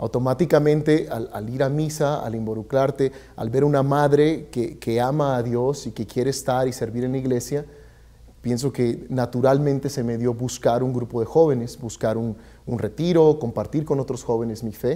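A man's dark, mellow tone at a moderate pace, with fairly even intonation. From Mexico (Michoacán). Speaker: community services director; guest. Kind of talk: interview. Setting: studio. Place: studio. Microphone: lapel.

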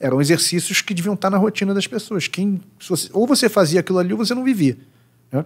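A man speaks against a quiet background. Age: 40s. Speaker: psychoanalyst. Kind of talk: casual chat. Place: studio. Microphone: studio mic.

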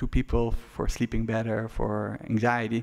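Against a quiet background, a man talks at a fairly slow pace. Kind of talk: press conference briefing. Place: hall. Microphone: podium.

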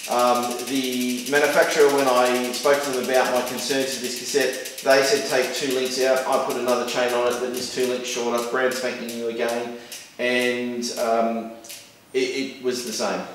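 Strong room echo surrounds a man with medium pitch. His tone is fairly bright, with little pitch movement. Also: moderate pace.

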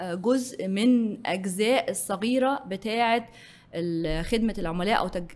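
Speaking with an Egyptian accent, a woman uses lively intonation at a moderate pace. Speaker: business executive; guest. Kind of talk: interview. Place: studio. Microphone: studio mic.

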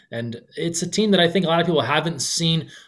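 Against a quiet background, the man's speech moves at a very fast pace. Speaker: podcast guest or host on sports. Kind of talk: commentary. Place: home room. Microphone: webcam.

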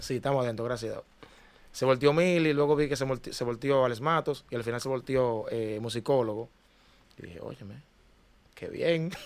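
A man at a moderate pace, with big swings in loudness and long, frequent pauses. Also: ordinary pitch variation. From Dominican Republic, Cristo Rey (Santo Domingo); Dominican Republic. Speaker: singer, ex talent show contestant; podcast guest. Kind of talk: interview. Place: studio. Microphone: studio mic.

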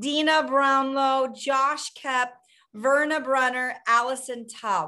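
A woman talks at a slow pace in a high pitch. Her tone is bright and sharp.

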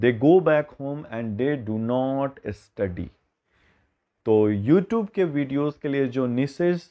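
A man with a fairly high voice speaks at a very slow pace. His intonation is lively, and the background is quiet. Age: 30s. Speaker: biology teacher; teacher. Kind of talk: talking-head video monologue; casual talk to students about his teaching. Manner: hesitant, code-switching.

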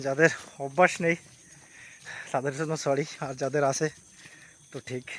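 A man speaks with a fairly high pitch. His intonation is monotone and flat. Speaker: travel vlogger. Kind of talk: vlog narration while walking. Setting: outdoors, jungle trekking trail.

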